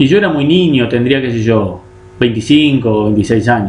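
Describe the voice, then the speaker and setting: A man's voice with audible room echo. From Uruguay, Colonia (Carmelo); Uruguay. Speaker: chess teacher. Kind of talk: online class, live lecture. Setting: live stream. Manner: hesitant with fillers. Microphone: webcam.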